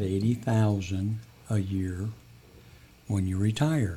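Fairly low-pitched, somewhat breathy male voice with fairly even intonation. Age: 70s. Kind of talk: casual interview.

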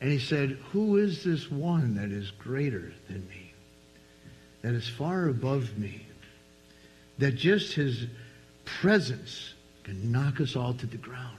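Somewhat breathy speech with an American accent comes at a very slow pace, marked by long, frequent pauses. The pitch swings very widely. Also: man, medium pitch for a man. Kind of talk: sermon, preaching to a live congregation, with an altar call at the end. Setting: church with live congregation. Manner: warm, jokey, conversational asides to the congregation.

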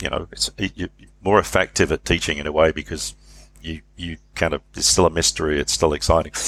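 The speaker talks at a fairly quick pace with vocal fry and ordinary pitch variation. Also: man, very deep, low pitch for a man. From England, Leicestershire family. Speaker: leadership professor. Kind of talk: interview. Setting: remote call.

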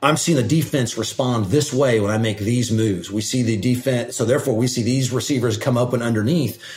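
Fairly quick, medium-pitched speech from a man, with hardly any pauses, very even loudness and fairly even intonation, amid noticeable background noise. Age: 40s. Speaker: state energy regulator. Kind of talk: casual mentoring conversation.

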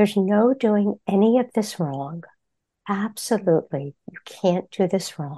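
A woman with a medium pitch speaks at a fairly slow pace in a calm, soothing, dark and mellow tone, with lively intonation and big swings in loudness. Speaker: therapist and meditation teacher. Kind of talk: interview with guided meditation. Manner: calm, slow, soothing.

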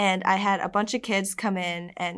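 In a very clean recording with a silent background, a woman at medium pitch speaks in a flat monotone. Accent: American. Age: young. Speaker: college student and Eagle Scout. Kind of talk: casual interview.

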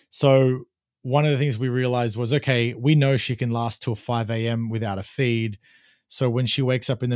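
A man with an Australian accent talks at a fairly quick pace, his medium pitch following a fairly even intonation. The recording is very clean, with a silent background. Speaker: podcast host, first-time father. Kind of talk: casual chat.

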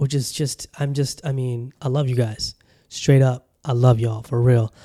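Dry and close with no echo, a man with an American accent speaks at a medium pitch in a dark, mellow tone. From Southern California. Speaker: podcast host. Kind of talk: casual monologue. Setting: home studio with camera. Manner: animated.

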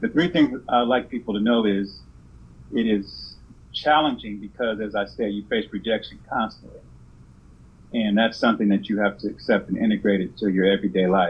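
Speaking fairly quickly with an American accent, a man has an ordinary speaking voice at a fairly low pitch. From California. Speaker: insurance agent. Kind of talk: interview.

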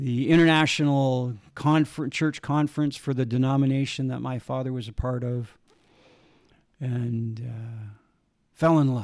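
Over a very clean recording with a silent background, a man speaks in a normal speaking voice, medium in pitch, with ordinary pitch variation. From Saskatchewan, Canada. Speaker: testimony speaker. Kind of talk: testimony, storytelling.

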